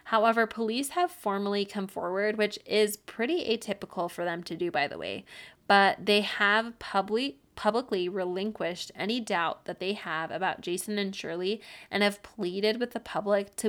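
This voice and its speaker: A woman speaks in a normal speaking voice at medium pitch. Her pace is moderate in a very clean recording with a silent background. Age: 30s. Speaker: true crime podcast host. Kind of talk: casual storytelling monologue. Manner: casual, laughs often.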